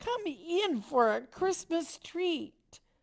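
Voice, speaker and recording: In a squeaky put-on character voice, a woman speaks at an extremely high pitch with very wide pitch swings. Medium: read story. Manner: brisk, cheerful.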